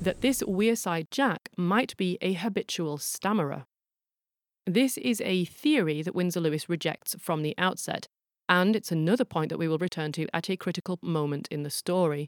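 A woman with a plain, everyday voice. Her pitch sits fairly low and her intonation is lively. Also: moderate pace, dry, close sound with no echo, very clean recording, silent background. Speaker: podcast host and forensic linguist. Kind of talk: scripted narration.

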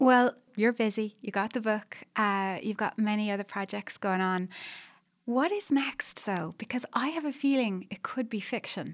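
The speaker has an Irish accent and a moderate pace with ordinary pitch variation. The recording is very clean, with a silent background. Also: woman, fairly high pitch for a woman. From Ireland. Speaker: podcast host. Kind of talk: interview conversation.

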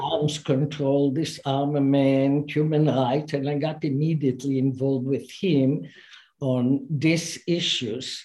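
A woman with a very deep, low pitch and dark, mellow tone, fairly slow, fairly even in intonation and very even in loudness. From Israel. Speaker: chemist and science diplomacy advocate. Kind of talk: interview. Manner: hesitant with fillers.

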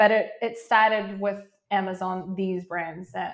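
A woman speaks with a New Zealand accent. Her pitch is medium. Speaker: Amazon seller and coach. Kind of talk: podcast interview.

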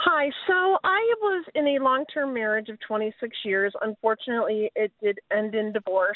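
The pitch swings very widely. There are hardly any pauses. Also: woman, fairly high pitch for a woman, moderate pace. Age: 60s. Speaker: caller. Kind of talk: phone-in question.

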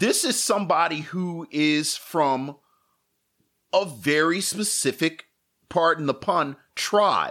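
At a very slow pace, a man with an American accent speaks in a bright, sharp tone at a high pitch with ordinary pitch variation. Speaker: podcast co-host. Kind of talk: casual chat. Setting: live stream.

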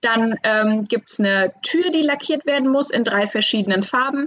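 At a fairly slow pace, a woman talks in a fairly high pitch with lively intonation. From Hesse, near Frankfurt. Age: 20s. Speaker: master painter and decorator. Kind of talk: interview. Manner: hesitant, many fillers.

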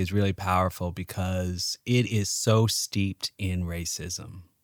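Speaking in an ordinary speaking voice with an American accent, a man talks at a fairly slow pace, his fairly low pitch showing ordinary variation, in a dry, close sound with no echo. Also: very clean recording, silent background. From Chicago, US (South Side). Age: 40s. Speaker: historian. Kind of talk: casual chat.

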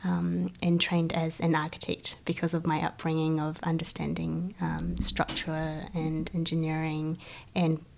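Her pitch is very deep and low. The woman keeps to an even, middling tempo. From China, moved to New Zealand as a child. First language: Chinese. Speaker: event organiser and photographer. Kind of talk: interview.

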